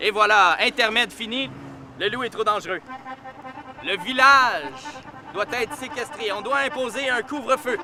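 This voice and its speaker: A man uses a raised, projected voice at an extremely high pitch with ordinary pitch variation. He goes at a fairly slow pace with long, frequent pauses as music plays in the background. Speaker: storyteller. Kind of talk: oral storytelling. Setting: outdoors. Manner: animated.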